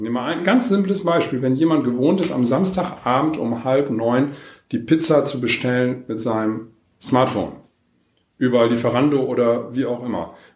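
Ordinary pitch variation at a moderate pace, with audible room echo. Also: man, medium pitch for a man. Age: 50s. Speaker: social welfare organisation manager. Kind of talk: interview. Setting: on location, not in a studio.

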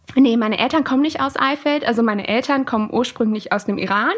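This woman has an ordinary speaking voice, with a fairly high pitch and fairly even intonation. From Lower Saxony, Germany (Alfeld near Hildesheim). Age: 20s. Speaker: student and volunteer interpreter for refugees. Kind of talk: interview. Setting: home office recording.

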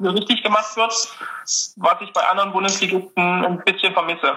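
Over noticeable background noise, a man with a high pitch uses a raised, projected voice at a moderate pace. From Dresden, Saxony, Germany. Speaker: student, quiz contestant. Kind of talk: casual chat.

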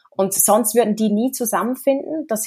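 Recorded very cleanly against a silent background, a woman speaks in a normal speaking voice with a fairly high pitch and lively intonation. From Switzerland. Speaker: smart city association co-president. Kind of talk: interview.

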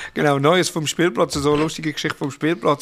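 A man speaks with a Swiss accent. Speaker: podcast co-host, father. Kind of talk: casual chat.

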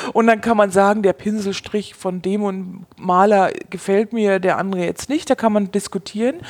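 A woman talks in a normal speaking voice, keeping a medium speed. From Bavaria, Germany. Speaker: wine expert and former sommelier. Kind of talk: interview conversation.

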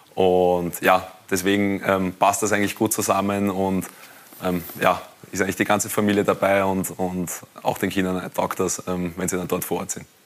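Amid noticeable background noise, a man speaks at a very deep, low pitch with monotone, flat intonation. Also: moderate pace. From Austria, Wiener Neustadt district. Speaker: professional goalkeeper. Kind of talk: TV studio talk interview. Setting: TV studio.

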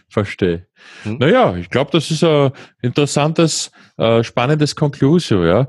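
With a Viennese accent and a fairly high pitch, a man swings his pitch very widely at a moderate pace, the sound dry, close and without echo against a quiet background. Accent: Viennese Austrian German. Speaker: podcast host, software company founder. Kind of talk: interview.

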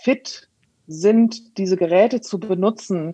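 Fairly even intonation carries a woman's dark, mellow tone. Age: 40s. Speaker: teacher. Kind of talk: interview. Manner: hesitant with many fillers.

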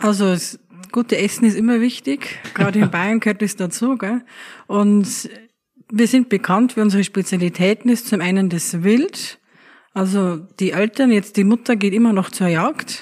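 An unremarkable speaking voice at a moderate pace. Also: woman, medium pitch for a woman, ordinary pitch variation. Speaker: innkeeper. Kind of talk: interview.

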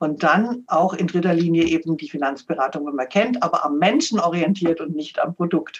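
In a plain, everyday voice with a fairly low pitch, a woman speaks at a moderate pace with ordinary pitch variation and hardly any pauses. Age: 60s. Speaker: financial adviser and author. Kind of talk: interview.

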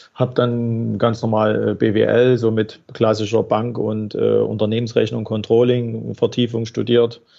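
Against noticeable background noise, a man speaks in a medium pitch with monotone, flat intonation, very even loudness and hardly any pauses. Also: fairly slow pace. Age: 40s. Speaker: banker and financing specialist. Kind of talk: casual interview.

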